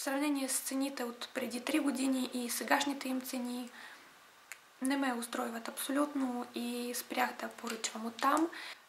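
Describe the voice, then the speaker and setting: At a fairly slow pace, a woman speaks in a high, monotone voice with flat intonation over noticeable background noise. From Ukraine. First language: Russian (speaking Bulgarian). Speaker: beauty vlogger. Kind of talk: casual vlog talk to camera.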